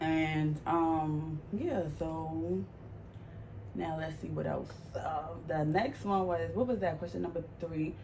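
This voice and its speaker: Speaking very slowly with a New York accent, a woman is heard amid audible room echo and noticeable background noise. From New York, Harlem. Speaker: vlogger. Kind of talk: casual Q&A vlog. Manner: animated.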